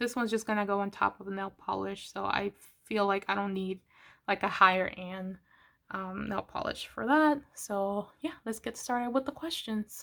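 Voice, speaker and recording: Bright, sharp tone from a woman at a medium pitch, with ordinary pitch variation and a moderate pace, on a very clean recording with a silent background. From Latin America, raised in the US from a young age. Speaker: manga YouTuber. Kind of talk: casual vlog chat. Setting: at home, filming while painting nails. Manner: casual, hesitant with many fillers.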